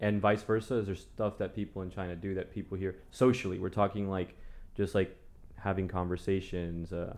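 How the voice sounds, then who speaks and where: With a Spanish accent, a man speaks fairly quickly in a very deep, low pitch and a monotone, flat intonation. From Las Vegas, US. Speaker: podcast host. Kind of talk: casual chat. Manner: casual, informal.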